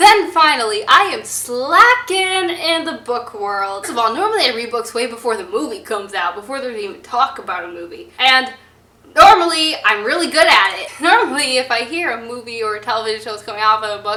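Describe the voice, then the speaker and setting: A woman speaks fairly quickly in a high pitch with an animated tone, very wide pitch swings and big swings in loudness, amid audible room echo and noticeable background noise. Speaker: book vlogger. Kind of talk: casual vlog talk. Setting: public place with passers-by.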